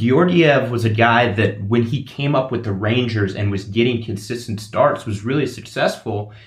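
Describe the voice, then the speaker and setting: Somewhat breathy and at medium pitch, a man talks at a moderate pace with ordinary pitch variation and hardly any pauses. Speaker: guest sports broadcaster. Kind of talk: casual sports chat.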